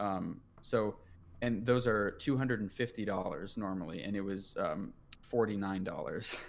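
At a moderate pace and a fairly low pitch, a man talks in an ordinary speaking voice with ordinary pitch variation. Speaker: podcast co-host, college student. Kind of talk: casual chat.

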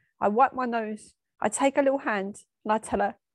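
A woman with an English accent speaks at a fairly high pitch and moderate pace, using ordinary pitch variation, in a dry, close sound with no echo against a quiet background. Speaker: bereaved daughter. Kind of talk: personal reflection.

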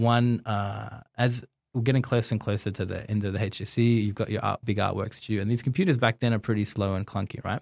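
A man talks fairly quickly in an Australian accent, his pitch fairly low. The recording is very clean, with a silent background. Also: fairly even intonation. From Australia, Sydney. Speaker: designer and artist. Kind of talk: casual interview.

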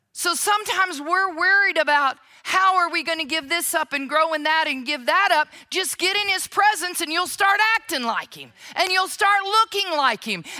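With an American accent, a woman speaks at a moderate pace in a raised, projected voice. Her tone is bright and sharp, her pitch extremely high, with ordinary pitch variation. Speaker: pastor. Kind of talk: sermon. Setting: church.

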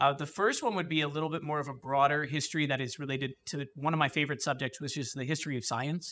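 Speaking at a very fast pace with fairly even intonation, a man with a New Jersey accent has a fairly high pitch and a bright, sharp tone, in a very clean recording with a silent background. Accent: New Jersey American. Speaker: high school history teacher. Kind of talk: interview. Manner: halting, many fillers.

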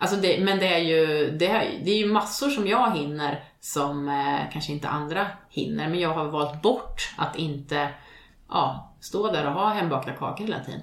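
At a moderate pace, a woman with a very deep, low voice speaks with ordinary pitch variation. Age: 40s. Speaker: podcast co-host. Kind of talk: casual chat.

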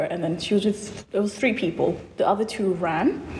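A woman amid noticeable background noise. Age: 20s. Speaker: recent nursing graduate. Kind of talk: casual chat.

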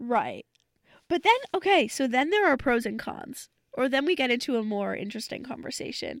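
A high-pitched woman at a moderate pace with lively intonation, on a very clean recording with a silent background. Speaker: student radio host. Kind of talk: casual chat. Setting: studio. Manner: animated, excitable.

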